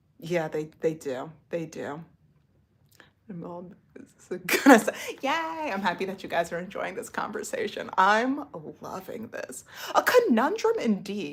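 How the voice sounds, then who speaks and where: Over noticeable background noise, a woman with an American accent speaks at a moderate pace. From United States. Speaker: livestreamer. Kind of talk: casual chat.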